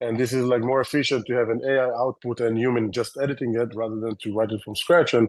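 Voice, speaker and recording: A man talks at a very fast pace in a medium pitch, his intonation monotone and flat, with hardly any pauses. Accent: Israeli. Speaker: tech company founder and CEO. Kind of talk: interview. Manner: fast, filler-heavy.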